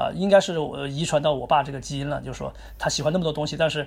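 On a very clean recording with a silent background, a man rattles along at a very fast pace. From Chongqing, China. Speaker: chess grandmaster. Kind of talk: interview. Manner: hesitant with fillers.

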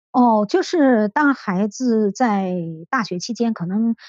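Over a quiet background, a woman speaks very slowly at a fairly high pitch, the sound dry and close with no echo. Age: 50s. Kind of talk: interview testimony. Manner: hesitant, many fillers.

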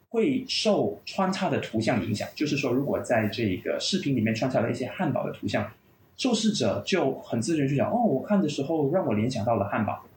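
Somewhat breathy and fairly high-pitched, a man speaks at a fairly quick pace with very wide pitch swings. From Malaysia. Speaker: clinical pain psychologist and university lecturer. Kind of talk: podcast interview, explanatory.

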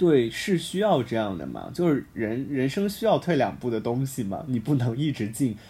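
This man talks at a moderate pace with hardly any pauses, his dark, mellow, somewhat breathy voice swinging very widely in pitch. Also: medium pitch for a man. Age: 20s. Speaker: university student podcast host. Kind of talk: casual chat. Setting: campus broadcast room.

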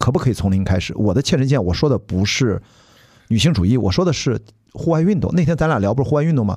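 Very wide pitch swings mark this man's fast speech, his medium-pitched voice dark, mellow and somewhat breathy, his loudness very even. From Shandong, China. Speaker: podcast host. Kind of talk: casual chat.

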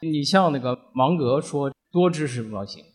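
His fairly high pitch swinging very widely, a man talks at a fairly slow pace. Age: 50s. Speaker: company finance director and podcast listener. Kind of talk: personal sharing at live event.

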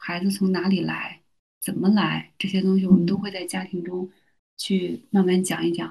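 A somewhat breathy woman's voice of medium pitch and dark, mellow tone, at a moderate pace. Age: 30s. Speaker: university teacher and mother. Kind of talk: casual interview.

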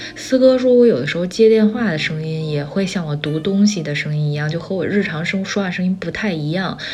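A woman speaks at a fairly quick pace with hardly any pauses, her fairly low pitch carrying lively intonation. Noticeable background noise and audible room echo surround her. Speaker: solo podcast host. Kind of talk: casual monologue.

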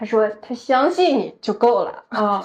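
This woman talks at a moderate pace. Her intonation is lively. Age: 30s. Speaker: podcast co-host. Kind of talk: casual chat.

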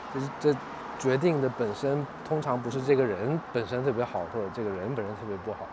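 Amid noticeable background noise and audible room echo, a man speaks fairly quickly at a medium pitch with ordinary pitch variation. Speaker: pop culture media founder and podcaster. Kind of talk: casual chat. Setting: outdoors.

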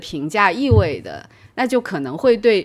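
In a very clean recording with a silent background, a woman of medium pitch speaks with very wide pitch swings. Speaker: psychology professor. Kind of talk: casual chat.

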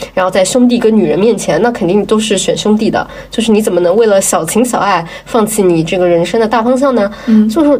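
Over noticeable background noise, a woman speaks at a very fast pace with fairly high pitch. Her loudness is very even and her pitch variation is ordinary. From Jiangsu, China. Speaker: podcast co-host. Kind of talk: casual chat.

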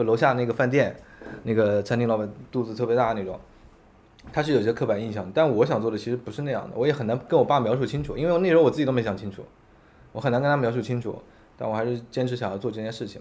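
With ordinary pitch variation, a man at medium pitch speaks at a very fast pace. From Yancheng, Jiangsu, China. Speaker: restaurant chain founder. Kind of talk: interview conversation. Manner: repetitive stammering.

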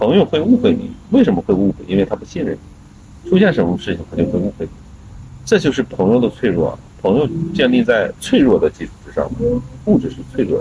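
A man talks at a very fast pace. His speech breaks with long, frequent pauses. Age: 40s. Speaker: blues musician and guitarist. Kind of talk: casual chat.

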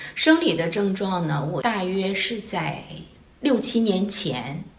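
Delivery is very slow, with lively intonation. Audible room echo and noticeable background noise surround it. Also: woman. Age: 50s. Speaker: secondary school chemistry teacher. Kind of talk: casual interview.

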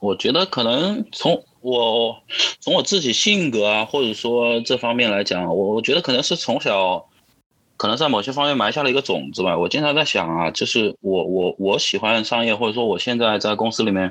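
A man's medium-pitched voice at a moderate pace, with lively intonation and very even loudness. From Wuhan, Hubei, China. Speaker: interview guest sharing life story as a father. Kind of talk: casual interview conversation. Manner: halting, with frequent repetitions and fillers.

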